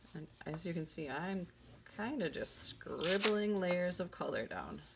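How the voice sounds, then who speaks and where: The woman's pitch is fairly low. Vocal fry runs through her voice. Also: ordinary pitch variation, fairly slow pace. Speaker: art teacher. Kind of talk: tutorial.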